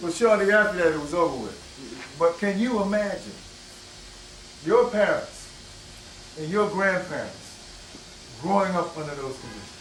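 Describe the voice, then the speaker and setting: A man with an American accent speaks at a high pitch and fairly slow pace, with lively intonation, big swings in loudness, and long, frequent pauses. Noticeable background noise sits behind him. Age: 60s. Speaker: historian lecturer. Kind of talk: lecture. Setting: bookstore with audience. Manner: conversational, asks audience questions.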